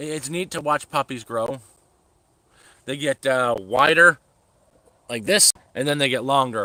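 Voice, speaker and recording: Speaking at a fairly slow pace with long, frequent pauses, a man has a medium pitch, ordinary pitch variation and a bright, sharp tone in a dry, close sound with no echo. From Canada, Toronto. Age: 30s. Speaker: livestreamer. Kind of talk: casual chat.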